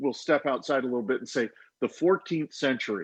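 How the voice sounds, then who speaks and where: A man speaks in a plain, everyday voice at a fairly high pitch with ordinary pitch variation. The sound is dry and close, with no echo. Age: 50s. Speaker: author. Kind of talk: casual panel discussion.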